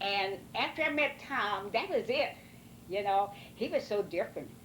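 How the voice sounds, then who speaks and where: Speaking with a rural Missouri accent, a woman talks at a fairly slow pace. Her intonation is lively. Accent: rural Missouri American. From US Midwest, Missouri, Ste. Genevieve County. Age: 80s+. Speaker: elderly mother interviewed by family. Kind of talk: oral history interview. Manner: halting, many fillers.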